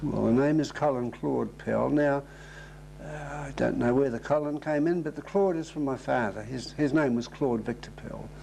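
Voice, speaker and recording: Against noticeable background noise, a man talks with a New Zealand accent. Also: moderate pace. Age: 70s. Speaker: oral history interviewee. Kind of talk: interview.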